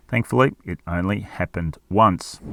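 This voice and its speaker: A very deep, low-pitched man's voice with an Australian accent and ordinary pitch variation, on a very clean recording with a silent background. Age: old. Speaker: car reviewer. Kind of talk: product review.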